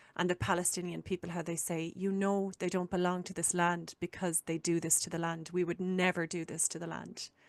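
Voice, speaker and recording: A woman with an Irish accent speaks fairly quickly at a fairly low pitch, in a monotone with flat intonation. The sound is dry and close with no echo, over a quiet background. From Ireland. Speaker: podcast host. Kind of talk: casual chat.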